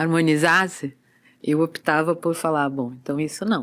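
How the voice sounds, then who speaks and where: Her pitch fairly low with ordinary variation, a woman speaks at a fairly slow pace. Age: 60s. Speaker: movement and body-awareness teacher. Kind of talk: casual interview chat.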